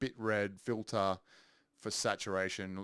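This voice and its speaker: Over a quiet background, a man with a fairly low pitch speaks at a very slow pace, his intonation fairly even. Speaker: music producer. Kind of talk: tutorial. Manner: halting, many filler ums. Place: studio.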